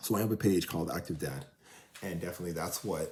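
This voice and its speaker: A man's very deep, low voice with a dark, mellow tone, a Toronto accent, and fairly even intonation. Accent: Canadian (Toronto). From Canada, Toronto. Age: 40s. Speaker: vlogger and track runner, father of four. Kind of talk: casual vlog monologue. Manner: casual, filler-heavy.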